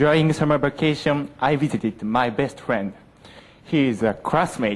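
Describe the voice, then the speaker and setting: This is a plain, everyday voice. A man speaks at a moderate pace with medium pitch and ordinary pitch variation. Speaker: university student. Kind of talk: presentation contest speech.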